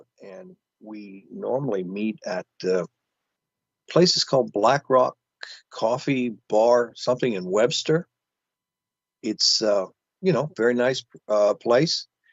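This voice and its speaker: A man's medium-pitched voice with lively intonation, big swings in loudness, a very slow pace and long, frequent pauses. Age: 70s. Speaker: author and heathen kindred leader. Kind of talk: interview. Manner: halting, many fillers.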